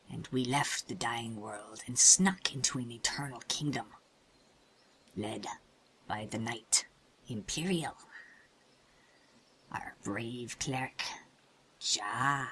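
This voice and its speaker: A man speaks at a fairly slow pace and a medium pitch. Long, frequent pauses break up his speech. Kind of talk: mock-heroic tall tale. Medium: machinima. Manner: grandiose, rambling, tongue-in-cheek.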